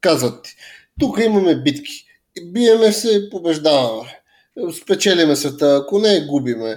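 The pace is fairly slow. Pitch swings very widely. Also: man, fairly high pitch for a man. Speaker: podcast co-host. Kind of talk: casual chat.

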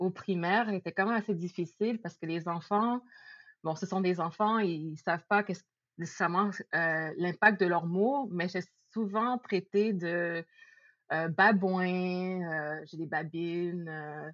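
The woman's voice sits at a medium pitch with ordinary pitch variation. She speaks at a very slow pace. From Quebec, Laval (Montreal area). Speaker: podcast guest. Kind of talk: casual chat.

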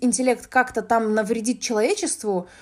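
A woman is speaking. Her pitch sits fairly high. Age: 20s. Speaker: podcast host, business developer in games. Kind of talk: casual solo monologue. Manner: talkative, frequent filler sounds. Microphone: basic app recording, no good microphone.

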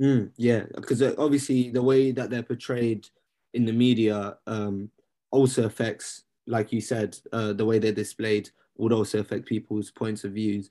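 A man with a London accent speaks at a medium pitch in a dark, mellow tone with monotone, flat intonation, on a very clean recording with a silent background. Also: moderate pace. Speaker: podcast co-host and student. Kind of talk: casual chat. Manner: casual, laid-back.

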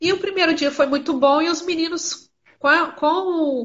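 A woman speaks with ordinary pitch variation. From Brazil, Minas Gerais (Miraí). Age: 30s. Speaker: geography teacher and school coordinator. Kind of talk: casual interview. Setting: video call (Instagram live).

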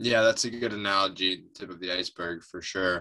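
A man's very deep, low pitch with a bright, sharp tone, fairly even intonation and an American accent. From upstate New York. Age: 30s. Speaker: environmental nonprofit director. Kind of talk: interview.

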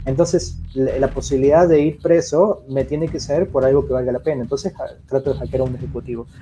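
A man with a fairly high pitch speaks at a fairly quick pace, his dark, mellow tone somewhat breathy and his intonation fairly even. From Argentina. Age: 30s. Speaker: cybersecurity expert. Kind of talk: interview.

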